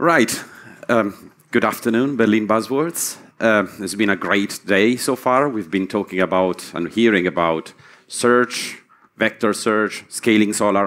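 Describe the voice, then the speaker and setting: Against a quiet background, a man talks fairly slowly in a normal speaking voice, fairly low in pitch with ordinary pitch variation. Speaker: conference speaker. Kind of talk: lecture. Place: hall.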